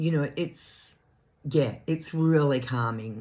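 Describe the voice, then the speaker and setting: An Australian accent on a very clean recording with a silent background. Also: woman. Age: 70s. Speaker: craft vlogger. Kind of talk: casual chat.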